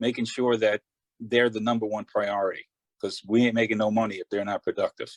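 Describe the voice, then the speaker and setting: With a New York accent, a man talks at a fairly quick pace in a flat monotone at medium pitch, the sound dry and close with no echo. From Long Island, New York. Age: 60s. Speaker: glazier, award nominee. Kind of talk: interview.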